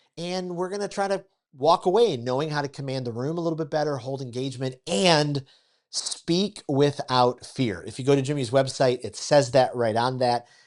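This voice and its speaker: Speaking at a moderate pace, a man with an American accent has a plain, everyday voice, a fairly high pitch, and ordinary pitch variation. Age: 40s. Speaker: podcast host. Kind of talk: podcast interview. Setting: podcast.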